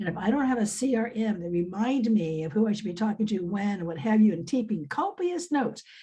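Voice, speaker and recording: Somewhat breathy, a woman at medium pitch uses lively intonation and a dark, mellow tone. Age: 70s. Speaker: business coach and academic. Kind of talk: casual chat. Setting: video call.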